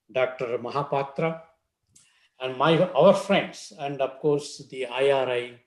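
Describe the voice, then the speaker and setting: With audible room echo, a man speaks very slowly at a fairly high pitch with fairly even intonation. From India. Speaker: professor, invited speaker. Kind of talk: conference talk. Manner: hesitant with fillers.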